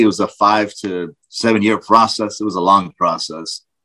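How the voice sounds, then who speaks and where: A man with an ordinary speaking voice talks at a fairly slow pace, fairly low in pitch with fairly even intonation, on a very clean recording with a silent background. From UAE then Texas. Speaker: private security contractor, former translator. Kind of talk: casual interview chat. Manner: casual, profane.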